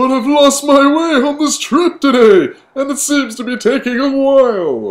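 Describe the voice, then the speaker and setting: A man in a put-on character voice, extremely high-pitched, at a moderate pace with hardly any pauses. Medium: read story. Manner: jolly, warm.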